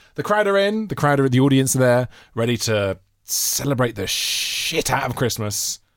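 In a very clean recording with a silent background, a man with a British accent speaks at a moderate pace and a medium pitch. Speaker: comedy podcast co-host. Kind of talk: casual banter. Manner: animated.

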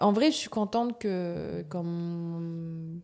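A dark, mellow tone from a woman, pitched fairly low. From New Caledonia, Nouméa. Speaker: actress. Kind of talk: casual interview. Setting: studio. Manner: animated.

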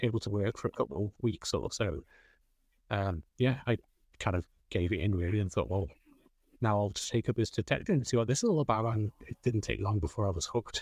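A man with a North Wales accent talks at a fairly quick pace, fairly low in pitch and somewhat breathy, with ordinary pitch variation. The recording is very clean with a silent background and a dry, close sound with no echo. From North Wales, Flintshire. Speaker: metal detectorist. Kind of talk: interview chat.

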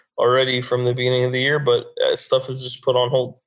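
A man speaks with a Texan accent. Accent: Texan American. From Texas, Dallas. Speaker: construction business owner and brain injury survivor. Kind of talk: interview.

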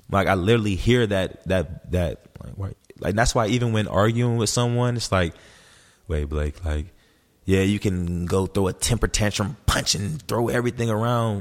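A man with an unremarkable speaking voice talks in an American accent at a fairly low pitch, moderate pace and ordinary pitch variation, on a very clean recording with a silent background. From US, Los Angeles, Memphis and Atlanta. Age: 20s. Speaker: performance coach, former pro football player. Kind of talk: casual chat.

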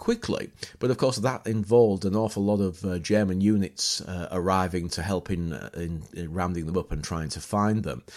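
With a Yorkshire accent, a man speaks at a moderate pace in a very deep, low pitch, with ordinary pitch variation. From northern England, near York. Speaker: battlefield historian and tour guide. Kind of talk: casual chat. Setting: outdoors. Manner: halting.

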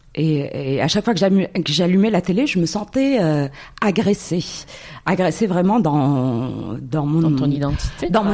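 Over noticeable background noise, the speech has lively intonation and a moderate pace. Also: woman. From Morocco. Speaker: entrepreneur. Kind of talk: interview.

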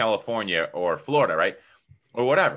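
Over a quiet background, a man at medium pitch speaks with a bright, sharp tone and vocal fry. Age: 30s. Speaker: entrepreneur and publisher. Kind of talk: interview.

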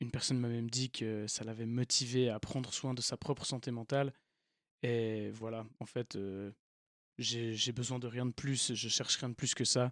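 A man speaks at a moderate pace in a monotone, flat intonation. The recording is very clean with a silent background and a dry, close sound with no echo. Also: medium pitch for a man. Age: 20s. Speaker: podcast host. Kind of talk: podcast intro monologue. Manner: hesitant, many fillers.

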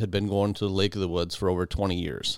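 A man talks at a fairly low pitch. The recording is very clean, its background silent. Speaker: outdoors podcast host. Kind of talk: storytelling. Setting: home basement podcast room.

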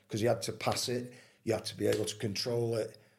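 A man talks with a Manchester accent. His voice is somewhat breathy. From Manchester, England. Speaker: retired footballer. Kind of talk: casual interview.

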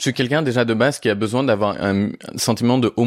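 A man with an ordinary speaking voice and ordinary pitch variation speaks at a moderate pace, in a very clean recording with a silent background and a dry, close sound with no echo. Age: 20s. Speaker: Instagram content creator. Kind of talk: personal testimony in interview.

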